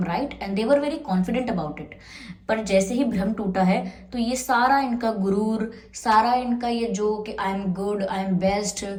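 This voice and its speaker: Speaking at a moderate pace with ordinary pitch variation, a woman's medium-pitched voice carries audible room echo and noticeable background noise. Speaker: tarot reader. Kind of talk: tarot reading to camera. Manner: casual, Hindi-English code-switching.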